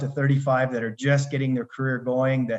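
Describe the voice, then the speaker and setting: A man's medium-pitched, somewhat breathy voice with a Canadian accent. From Canada, Alberta. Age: 60s. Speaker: retired consultant and life coach. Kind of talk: podcast interview.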